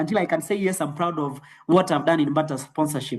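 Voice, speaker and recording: A man speaks at a fairly quick pace. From Kenya, Nairobi. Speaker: network marketing trainer. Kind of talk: motivational training talk. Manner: fast.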